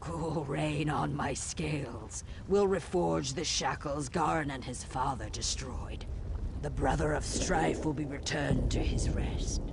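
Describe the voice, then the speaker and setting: A man puts on a character voice and speaks at a fairly slow pace. Loud background noise runs behind him. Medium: video game. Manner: ritual greetings about scales and water.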